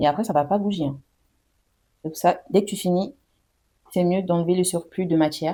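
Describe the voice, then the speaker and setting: A woman's fairly low voice with a dark, mellow tone, ordinary pitch variation, moderate pace, and long, frequent pauses. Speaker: beauty vlogger. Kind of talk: product review tutorial. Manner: casual, chatty; soft-spoken at times.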